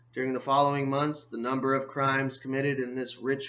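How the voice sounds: Spoken in a natural reading voice.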